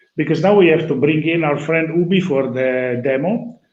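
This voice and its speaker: A man with an Italian accent, fairly high-pitched, at a fairly slow pace with ordinary pitch variation, in a room with audible echo. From Italy. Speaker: talk show host, electronics company co-founder. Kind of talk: casual chat.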